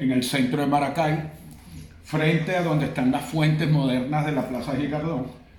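With audible room echo and noticeable background noise, the speaker talks at a fairly slow pace with ordinary pitch variation. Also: man. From Venezuela, Caracas. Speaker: veterinarian. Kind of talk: casual chat.

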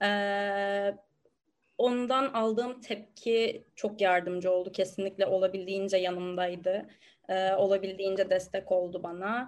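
At a fairly slow pace, an unremarkable speaking voice carries fairly even intonation over a quiet background. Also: woman, medium pitch for a woman. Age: 20s. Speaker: university student. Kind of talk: interview.

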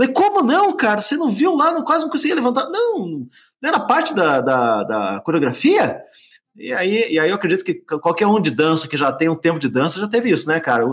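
This man has a Curitiba accent. He talks at a fairly quick pace. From Curitiba, Paraná, southern Brazil. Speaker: business consultant for dance schools. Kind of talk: casual chat.

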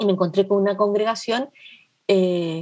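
At a moderate pace, a plain, everyday voice carries fairly even intonation. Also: woman. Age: 50s. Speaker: nun and social worker. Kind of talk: interview conversation.

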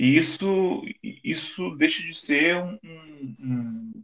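This man's voice sits fairly high and carries lively intonation. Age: 30s. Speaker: journalist. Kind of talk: interview.

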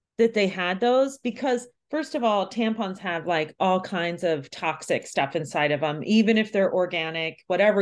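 In a normal speaking voice at medium pitch, a woman talks at a moderate pace with lively intonation and hardly any pauses. The background is quiet. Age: 40s. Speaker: yoga teacher and podcast host. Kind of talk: casual interview chat.

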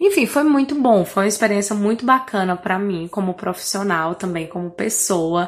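A woman speaks at a medium pitch in a northeastern Brazilian accent, her intonation lively. The recording is very clean, with a silent background. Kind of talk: recorded self-introduction. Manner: clear diction.

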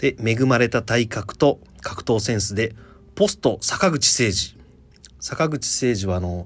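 Using a normal speaking voice, a man talks at a fairly slow pace and medium pitch with lively intonation. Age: 30s. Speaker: podcast host. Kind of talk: casual chat; storytelling.

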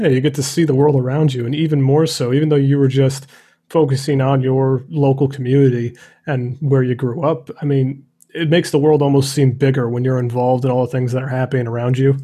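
A man's medium-pitched, somewhat breathy voice with a dark, mellow tone, flat monotone intonation and a very fast pace. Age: 30s. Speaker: podcast host, photographer. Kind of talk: interview.

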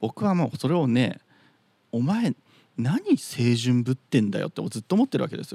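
The man's tone is dark and mellow, with a medium pitch and lively intonation. He speaks at a moderate pace in a dry, close sound with no echo. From Chiba, Japan. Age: 30s. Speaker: podcast host. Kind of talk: solo monologue. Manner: casual.

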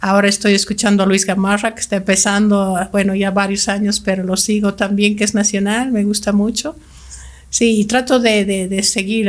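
A woman speaks at a moderate pace in a medium pitch. Her intonation is monotone and flat. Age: 60s. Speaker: language school director. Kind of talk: podcast interview.

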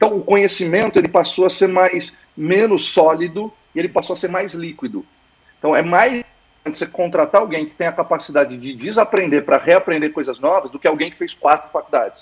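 Speaking at a fairly quick pace in a high pitch, a man shows big swings in loudness and ordinary pitch variation. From Santos, São Paulo coast, Brazil. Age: 40s. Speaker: founder of a corporate learning lab, former executive. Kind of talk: casual interview.

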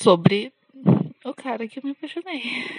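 Dry and close with no echo, a woman's high-pitched voice moves at a fairly slow pace. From São Paulo, Brazil. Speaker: podcaster. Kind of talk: personal diary monologue. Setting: outdoors walking dog. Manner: halting.

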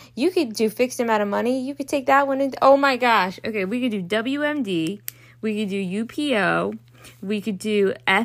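With a Baltimore accent, a woman speaks in a fairly high pitch with lively intonation on a very clean recording with a silent background. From US, Baltimore. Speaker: law student podcaster. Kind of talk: casual study tutorial. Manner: rambling, halting with fillers.

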